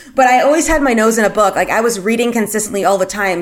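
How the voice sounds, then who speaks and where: An unremarkable speaking voice from a woman, fairly high in pitch with ordinary pitch variation. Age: 30s. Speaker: podcast host. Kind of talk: solo podcast monologue. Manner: casual with many fillers.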